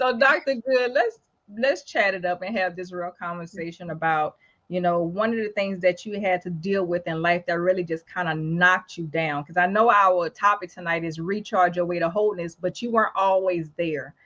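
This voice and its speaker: At a moderate pace, a woman talks in a New Orleans accent with ordinary pitch variation. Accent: deep New Orleans. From New Orleans, Louisiana. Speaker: talk show host. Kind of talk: casual interview. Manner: animated.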